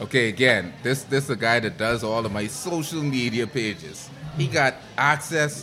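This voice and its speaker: Male speech at a medium pitch and moderate pace, with ordinary pitch variation and noticeable background noise. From Bahamas. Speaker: podcast guest. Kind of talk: casual chat.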